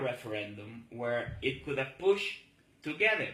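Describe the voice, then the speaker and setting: With a bright, sharp tone, a man speaks at a moderate pace with ordinary pitch variation amid audible room echo. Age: 40s. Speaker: political activist. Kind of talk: political monologue video. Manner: halting.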